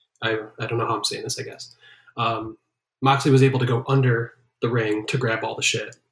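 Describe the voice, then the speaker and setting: Somewhat breathy, a man speaks at a medium pitch with monotone, flat intonation and long, frequent pauses. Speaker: podcast co-host. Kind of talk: casual banter, wrestling podcast discussion. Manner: jokey, casual.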